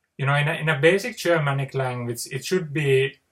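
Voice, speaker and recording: The speaker has a Finnish accent. The voice is somewhat breathy, with ordinary pitch variation. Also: man. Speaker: poet. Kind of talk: casual monologue. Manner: halting; unscripted.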